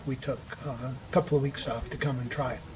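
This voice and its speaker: A man speaks at a moderate pace in a fairly high pitch, with noticeable background noise. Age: 60s. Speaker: retreat participant sharing depression recovery. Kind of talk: interview testimony. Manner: hesitant with many fillers.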